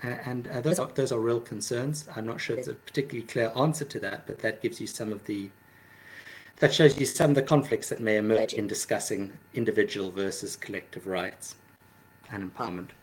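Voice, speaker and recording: This man talks at a fairly quick pace, his voice somewhat breathy, with ordinary pitch variation. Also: medium pitch for a man. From South Africa. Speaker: social psychology professor. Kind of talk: interview. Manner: halting.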